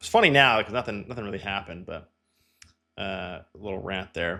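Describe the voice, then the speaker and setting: A man with a Canadian accent has a bright, sharp tone on a very clean recording with a silent background. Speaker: real estate agent. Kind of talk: casual walkthrough commentary. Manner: fast; casual, filler-heavy.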